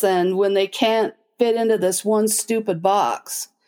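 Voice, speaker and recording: With an American accent, a woman speaks at a fairly slow pace and with fairly even intonation over music in the background. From Utah, US (Logan). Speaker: special education director. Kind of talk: casual interview.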